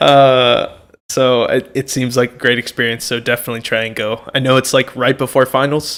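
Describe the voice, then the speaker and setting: At a moderate pace, a man speaks with a medium pitch and monotone, flat intonation. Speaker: college student and amateur comedian. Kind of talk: casual chat. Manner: loud.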